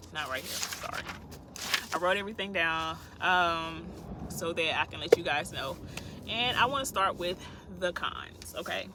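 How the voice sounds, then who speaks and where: A woman's fairly low-pitched voice at a moderate pace, with ordinary pitch variation, big swings in loudness, long and frequent pauses, and noticeable background noise. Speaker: truck driver and vlogger. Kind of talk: casual vlog talk. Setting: parked in truck beside the road. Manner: chatty, informal.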